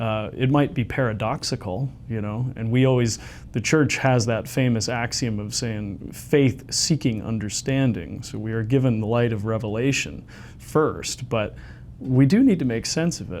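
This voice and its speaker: This is a normal speaking voice with a Canadian accent. The pace is moderate. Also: man. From Canada, London Ontario. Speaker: theologian and former journalist. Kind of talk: interview conversation.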